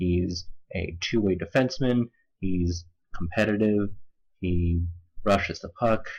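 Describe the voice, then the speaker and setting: A man speaks at a fairly slow pace and a fairly low pitch, somewhat breathy, with long, frequent pauses. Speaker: hockey scouting commentator. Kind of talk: video commentary. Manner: monotone; composed.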